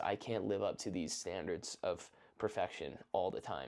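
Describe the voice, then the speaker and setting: A man speaks in a fairly low voice with a dark, mellow tone. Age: 20s. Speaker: content creator / vlogger. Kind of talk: casual monologue. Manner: fast; casual, unscripted.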